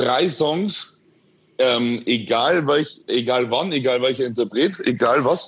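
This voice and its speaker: A man talks at a very slow pace. His loudness stays very even throughout. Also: medium pitch for a man, ordinary pitch variation. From Bavaria, Upper Palatinate (Schwandorf). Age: 20s. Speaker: influencer. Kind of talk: interview, casual chat. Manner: hesitant, many fillers.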